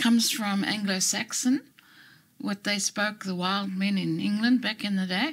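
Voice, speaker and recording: A woman speaks in a somewhat breathy voice with lively intonation at a moderate pace, in a very clean recording with a silent background. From Zimbabwe. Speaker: retired English lecturer. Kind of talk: interview.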